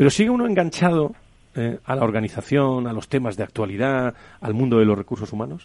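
A man speaks in an ordinary speaking voice at a medium pitch. His intonation is lively and his pace fairly quick. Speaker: radio host. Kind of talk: radio panel discussion.

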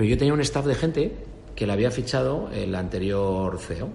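A man speaks with lively intonation. There is noticeable background noise and audible room echo. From Spain, Extremadura. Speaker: business executive. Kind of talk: interview.

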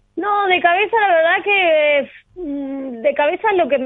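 A woman is speaking. Her intonation is lively. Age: 30s. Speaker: professional padel player. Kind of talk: interview.

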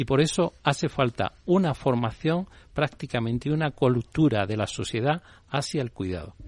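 A man in a normal speaking voice at medium pitch talks at a moderate pace with lively intonation, the sound dry and close with no echo over a quiet background. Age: 60s. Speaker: CEO of a caregiver training company. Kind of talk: interview.

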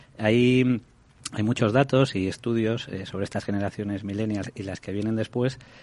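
Fairly low in pitch, a man talks at a moderate pace with fairly even intonation. The background is quiet. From Galicia, Spain. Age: 40s. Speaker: rent-to-own housing executive. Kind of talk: radio interview. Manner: hesitant, many repetitions.

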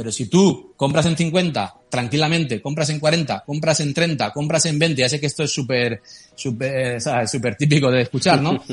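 Speaking at a fairly slow pace with hardly any pauses, a man with a fairly high pitch uses a somewhat breathy voice and ordinary pitch variation. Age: 40s. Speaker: crypto startup CEO. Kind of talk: interview.

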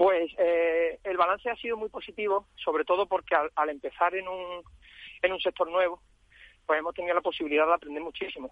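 A man speaks at a fairly quick pace in a high voice, his intonation fairly even. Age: 30s. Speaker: franchisee, entrepreneur. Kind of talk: radio interview. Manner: halting, many repetitions.

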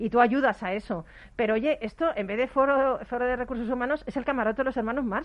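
A woman's animated, high-pitched voice at a very fast pace, with ordinary pitch variation. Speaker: radio host. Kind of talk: casual chat. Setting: studio.

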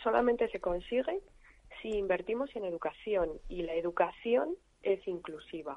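At a moderate pace, a woman talks at medium pitch in an unremarkable speaking voice. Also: lively intonation. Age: 50s. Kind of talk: interview.

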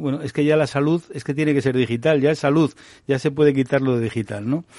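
In a plain, everyday voice with fairly even intonation, the speaker talks against a quiet background. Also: man. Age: 60s. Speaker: doctor and health technology executive. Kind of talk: radio panel discussion.

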